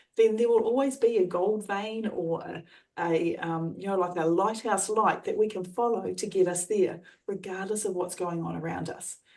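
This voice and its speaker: Speaking in an Australian accent, a woman keeps a moderate pace. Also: medium pitch for a woman, ordinary pitch variation. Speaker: trainer and coach. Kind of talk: coaching explanation.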